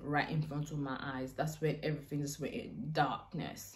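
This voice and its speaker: A woman talks at a very deep, low pitch with fairly even intonation. Audible room echo surrounds her voice. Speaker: YouTuber. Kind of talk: storytime vlog.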